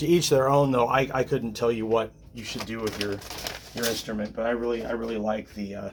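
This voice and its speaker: Noticeable background noise sits behind a man's voice. He talks at a fairly quick pace and medium pitch, with ordinary pitch variation. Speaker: guitar repair technician. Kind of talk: tutorial. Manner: casual, hesitant with many fillers; mumbling.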